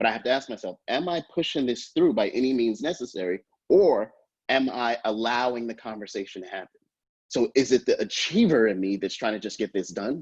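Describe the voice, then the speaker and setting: With lively intonation and a fairly quick pace, a man speaks at a medium pitch in a dry, close sound with no echo. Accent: New York. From New York. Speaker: professor. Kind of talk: lecture. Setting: video call. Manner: fast.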